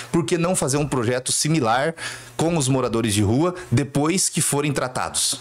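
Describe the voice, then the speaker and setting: Noticeable background noise under a man at a moderate pace, fairly high in pitch and with ordinary pitch variation. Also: very even loudness. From southern Brazil, Cascavel, Paraná. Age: 30s. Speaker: city councillor. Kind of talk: interview.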